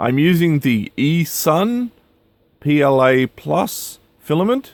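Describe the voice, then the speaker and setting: A man with an Australian accent, very slow in pace, with lively intonation. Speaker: retro game cart maker, YouTuber. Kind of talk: casual tutorial. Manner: hesitant, many filler sounds.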